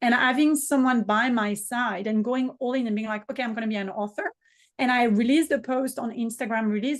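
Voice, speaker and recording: Very fast and fairly high-pitched, a woman talks in a French accent. Her intonation stays fairly even. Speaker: business mentor and author. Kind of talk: podcast interview.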